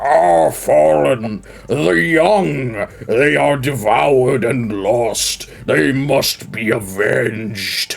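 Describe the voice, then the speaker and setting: A man does a croaky, put-on character voice at medium pitch, very slowly and with hardly any pauses. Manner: emotional, vengeful.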